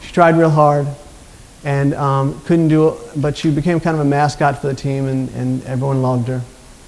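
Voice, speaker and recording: Speaking in an American accent at a moderate pace, a man uses a fairly high pitch and monotone, flat intonation, with audible room echo and noticeable background noise. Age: 50s. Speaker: motivational speaker. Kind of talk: conference talk.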